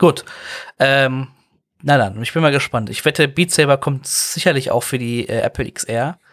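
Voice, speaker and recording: A man speaks with a fairly high pitch, ordinary pitch variation and a moderate pace. The recording is very clean and dry, close with no echo, over a silent background. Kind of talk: casual chat.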